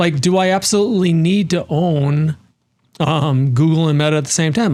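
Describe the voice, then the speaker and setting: Speaking with a Minnesotan accent, a man uses a high, animated voice with ordinary pitch variation and very even loudness. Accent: Minnesota. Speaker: investment strategist. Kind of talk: interview.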